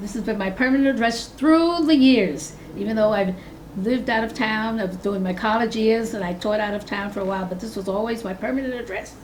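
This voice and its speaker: Someone with an American accent talks at a fairly quick pace with ordinary pitch variation, amid noticeable background noise and audible room echo. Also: woman, fairly high pitch for a woman. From New York City, Harlem. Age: 80s+. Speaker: longtime resident, retired teacher. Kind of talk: oral history interview.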